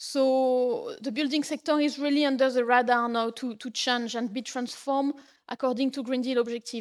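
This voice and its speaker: In a very clean recording with a silent background, a woman with a French accent speaks at a high pitch and a moderate pace. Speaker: policy officer at a homelessness organization. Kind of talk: conference lecture.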